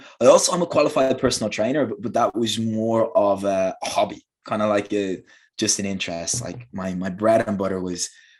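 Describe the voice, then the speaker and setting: A man with a Dublin accent talks at a fairly quick pace and a fairly low pitch, with ordinary pitch variation. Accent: Irish (Dublin). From Ireland, Dublin. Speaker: English teacher. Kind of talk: interview. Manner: halting, many repeated words.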